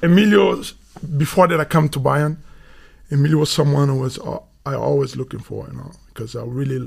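With a Portuguese accent, a man speaks in a somewhat breathy voice with ordinary pitch variation. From Brazil (São Paulo). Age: 30s. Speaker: youth basketball coach. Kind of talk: casual interview.

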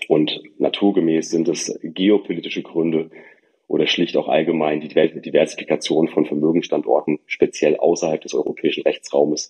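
The man talks at a fairly quick pace. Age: 40s. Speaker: bank sales executive. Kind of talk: corporate podcast interview.

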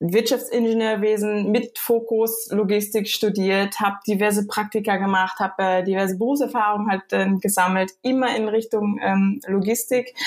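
A woman with a normal speaking voice at a medium pitch, moderate pace, fairly even intonation, very even loudness and hardly any pauses. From Germany, near Frankfurt (Hesse). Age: 30s. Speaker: startup co-founder. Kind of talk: podcast interview.

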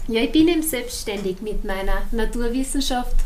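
A woman's voice with audible room echo. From Austria, Styria (partly Denmark). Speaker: yoga teacher and natural scientist. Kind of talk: interview conversation. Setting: hotel room, indoors.

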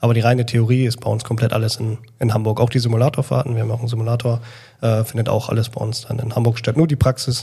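Speaking at a very fast pace, a man at medium pitch keeps a monotone, flat intonation. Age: 30s. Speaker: train driver and instructor. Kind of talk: casual interview.

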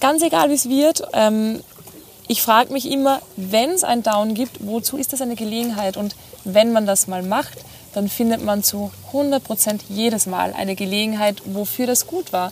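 Fairly high-pitched woman's voice with ordinary pitch variation at a fairly slow pace amid noticeable background noise. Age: 30s. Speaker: occupational therapist and mindset coach. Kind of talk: casual interview. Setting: outdoors by the sea.

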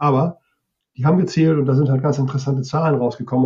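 A man speaks in a fairly high, somewhat breathy voice. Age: 50s. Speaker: advertising sales manager and cycling writer. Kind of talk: casual interview.

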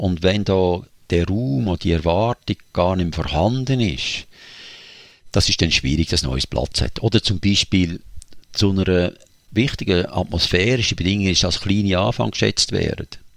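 Vocal fry in a man's very deep, low voice, lively in intonation, at a moderate pace. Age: 60s. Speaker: church coach and deacon. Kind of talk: interview.

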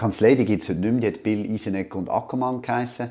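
A man talks very fast at a medium pitch in a Basel accent. His tone is dark and mellow, with ordinary pitch variation. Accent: Basel Swiss German. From Switzerland, Basel. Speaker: law professor. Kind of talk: interview. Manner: halting, many fillers.

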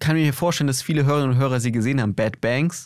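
On a very clean, silent recording, a man speaks very fast at a medium pitch with ordinary pitch variation. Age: young. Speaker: podcast host. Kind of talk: casual interview.

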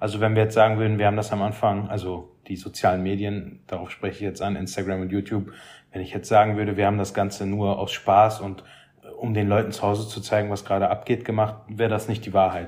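His pitch sits fairly low, and his intonation stays monotone and flat. This man talks at a very fast pace. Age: 30s. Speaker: travel content creator. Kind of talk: casual chat.

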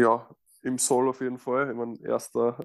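Recorded with a dry, close sound and no echo, a man speaks at a medium pitch in a monotone, flat delivery. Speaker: professional volleyball player. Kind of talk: interview. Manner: hesitant, many fillers.

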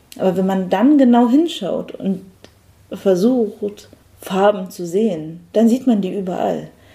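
A woman speaks very slowly in a medium-pitched, somewhat breathy voice with a dark, mellow tone. Her pitch rises and falls in an ordinary way. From Germany, Berlin. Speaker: painter. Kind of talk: interview.

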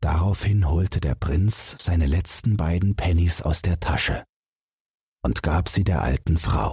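A low-pitched man speaks at a fairly slow pace with ordinary pitch variation, a slightly mellow tone and a husky, rough edge, on a very clean recording with a silent background.

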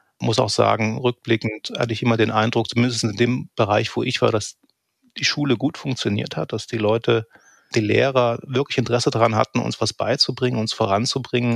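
Over a very clean recording with a silent background, a man talks at a moderate pace in a medium pitch, with vocal fry, fairly even intonation, and a dry, close sound with no echo. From eastern Germany, Saxony (near Leipzig). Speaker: economics professor. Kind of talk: interview.

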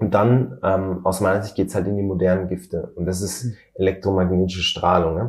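A man's very deep, low voice comes across somewhat breathy, with fairly even intonation. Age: 30s. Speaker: mechanical engineer and company founder. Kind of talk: interview.

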